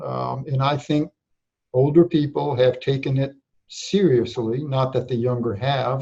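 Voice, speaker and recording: At a fairly slow pace, a man speaks with a dark, mellow tone that is somewhat breathy. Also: medium pitch for a man, fairly even intonation. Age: 60s. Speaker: public health director. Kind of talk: interview. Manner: halting.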